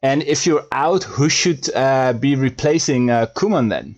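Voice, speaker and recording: A man with a fairly high voice delivers his words very slowly. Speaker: football podcast host. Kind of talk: live stream chat. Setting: live online stream with guests. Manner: loud, voice louder than guests.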